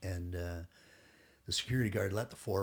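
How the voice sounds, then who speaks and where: In a very clean recording with a silent background, a man with a Canadian accent sounds somewhat breathy and keeps his intonation fairly even. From Toronto, Canada. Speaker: retired SWAT police officer. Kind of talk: casual chat.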